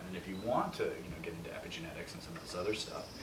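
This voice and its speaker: This man speaks very fast while noticeable background noise runs beneath him. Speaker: interview guest. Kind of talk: interview answer. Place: kitchen.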